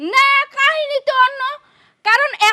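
A woman does a put-on character voice, squeaky and extremely high-pitched. Her intonation stays fairly even. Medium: comedy sketch.

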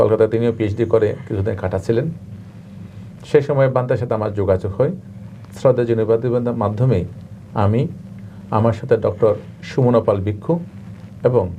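Noticeable background noise fills the recording. A man speaks at medium pitch with fairly even intonation. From Bangladesh, Chittagong. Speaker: Buddhist monk. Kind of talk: interview.

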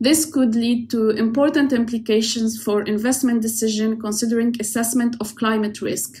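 A woman speaks at a moderate pace, hardly pausing, with monotone, flat intonation. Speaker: oceanographer. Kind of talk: prerecorded presentation. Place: home room. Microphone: webcam.

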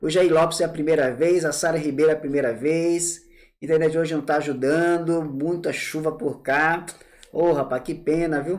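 Against a quiet background, a man talks at a moderate pace. His pitch is fairly high. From Bahia, Brazil (Salvador). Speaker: tax law teacher. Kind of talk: live online class; live-stream lecture. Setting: live stream. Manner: animated. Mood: warm, informal. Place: home room. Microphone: earbuds.

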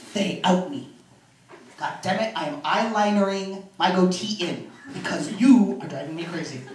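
A man speaks at a high pitch and moderate pace, animated, with ordinary pitch variation and big swings in loudness. Audible room echo and light background noise are present. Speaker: comedian. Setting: stage with audience. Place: home room. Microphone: handheld.

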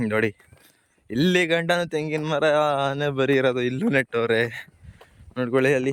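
Keeping a very even loudness, a man talks in a plain, everyday voice at a fairly high pitch with ordinary pitch variation. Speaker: village farmer vlogger. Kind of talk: walking vlog narration. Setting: outdoors walking through fields. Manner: casual, conversational.

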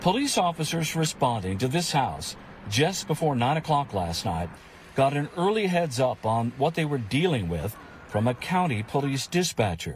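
A man talks at a moderate pace with a fairly high pitch, very wide pitch swings, and a somewhat breathy voice. The sound is dry with no echo, over light background noise. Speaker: TV news reporter. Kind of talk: TV news report.

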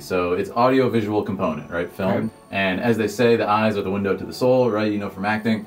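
A man with a fairly low pitch and ordinary pitch variation, talking at a very fast pace over faint background music. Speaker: guest. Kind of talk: interview answer. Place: home room.

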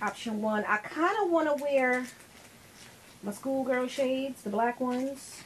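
A woman speaks in a high pitch with ordinary pitch variation, leaving long, frequent pauses. Noticeable background noise runs underneath. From New York, the Bronx. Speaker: lifestyle vlogger. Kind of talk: casual vlog talk to camera. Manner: animated.

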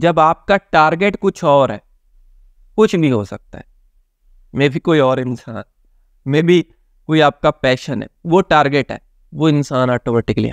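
Over a quiet background with a dry sound and no echo, a man talks at a fairly slow pace with long, frequent pauses, ordinary pitch variation and big swings in loudness. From Pakistan. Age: young. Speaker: motivational speaker and counsellor; motivational speaker. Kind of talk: motivational talk to camera. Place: home room.

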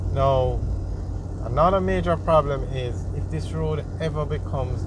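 Amid noticeable background noise, a man with a very deep, low pitch speaks at a fairly slow pace with very wide pitch swings, the sound dry with no echo. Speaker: tour narrator. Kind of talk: narrated driving tour commentary. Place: car.

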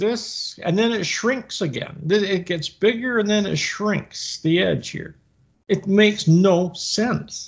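The speech moves at a fairly slow pace against a quiet background. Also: man. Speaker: co-host of discussion. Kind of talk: commentary. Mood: skeptical, critical. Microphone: webcam.

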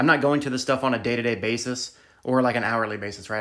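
Over a quiet background, the speaker talks at a very fast pace. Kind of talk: shop tour tutorial. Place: garage. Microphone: phone near.

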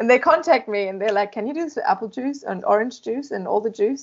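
A woman with a German accent, fairly high in pitch, at a fairly quick pace. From Germany. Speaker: beamline scientist. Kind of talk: interview. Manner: animated. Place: office. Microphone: video call.

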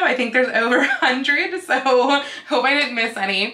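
A woman speaks in a raised, projected voice at a moderate pace. Room echo is audible around her. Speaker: costuming vlogger. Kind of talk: casual vlog chat. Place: home room.

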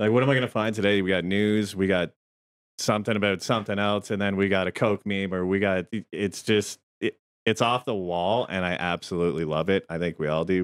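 Speaking at a fairly quick pace with a Canadian accent, a man keeps a fairly low pitch and a fairly even intonation. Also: quiet background. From Chatham-London area, southwestern Ontario, Canada; Ontario. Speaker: podcast co-host. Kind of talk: casual chat. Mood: relaxed, joking. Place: home room. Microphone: studio mic.

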